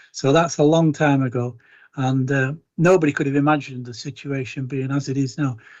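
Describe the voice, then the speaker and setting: This speaker has a Lancashire accent and a fairly quick pace. The intonation stays fairly even. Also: man, fairly high pitch for a man. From Chorley, Lancashire. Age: 60s. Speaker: councillor. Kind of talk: council meeting debate.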